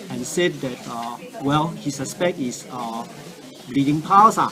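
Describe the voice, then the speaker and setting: The speech comes at a fairly slow pace with lively intonation. Noticeable background noise and audible room echo are present. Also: man. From Singapore. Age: 60s. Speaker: cancer patient giving a product testimonial. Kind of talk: testimony. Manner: halting, many fillers.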